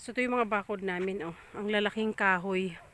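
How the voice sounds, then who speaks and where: A woman talks with fairly even intonation. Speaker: farmer vlogger. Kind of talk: casual vlog walkthrough. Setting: outdoors on a farm. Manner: loud.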